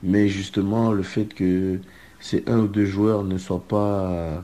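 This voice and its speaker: A man speaks with a very deep, low pitch and a dark, mellow tone. His intonation stays fairly even at a very slow pace. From southern France (Marseille). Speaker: student athlete, soccer player. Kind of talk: recorded interview commentary.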